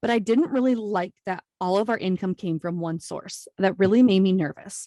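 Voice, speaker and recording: With a slight Minnesota accent, a woman talks at a medium pitch in a dark, mellow tone with ordinary pitch variation, the sound dry and close with no echo. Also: moderate pace. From US Midwest, Iowa. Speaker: entrepreneur, podcast guest. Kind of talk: casual interview chat. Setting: remote video call.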